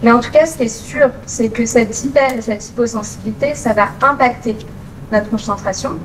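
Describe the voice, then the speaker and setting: With audible room echo and noticeable background noise, a woman with a fairly high pitch speaks at a moderate pace and fairly even intonation. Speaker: occupational therapist. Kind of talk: conference talk. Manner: many filler hesitations (euh).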